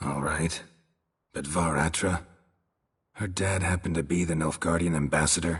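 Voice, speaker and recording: A man uses a put-on character voice with a very deep, low pitch. He speaks at a moderate pace with long, frequent pauses. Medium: video game. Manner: deadpan, terse.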